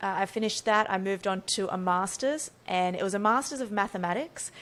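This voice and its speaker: Speaking at a fairly quick pace with an Australian accent, a woman uses a medium pitch and ordinary pitch variation. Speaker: neurophysiologist and brain coach. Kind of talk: podcast interview.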